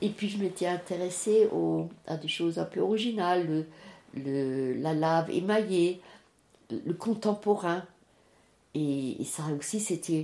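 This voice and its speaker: A woman speaks very slowly in a fairly low pitch with a dark, mellow tone, ordinary pitch variation and long, frequent pauses, in a very clean recording with a silent background. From France, Alsace (Strasbourg). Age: 80s+. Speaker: retiree sharing life story. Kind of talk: life story interview. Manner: halting.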